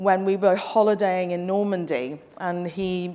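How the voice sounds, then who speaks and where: A woman with a slight English accent speaks at a medium pitch. Her pace is fairly slow. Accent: English-tinged. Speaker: travel company representative. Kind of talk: conference presentation. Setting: stage with audience. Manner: animated; brisk.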